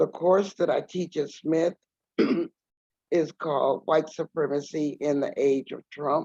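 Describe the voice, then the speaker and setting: A woman with a very deep, low voice speaks at a fairly slow pace with fairly even intonation. Her tone is dark and mellow, and the sound is dry and close with no echo. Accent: American. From Texas, San Antonio. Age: 60s. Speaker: activist and professor. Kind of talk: guest lecture.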